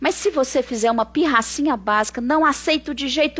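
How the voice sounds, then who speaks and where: A woman speaks in a high-pitched voice. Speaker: psychotherapist. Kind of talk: live stream talk. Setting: online live stream. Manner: animated.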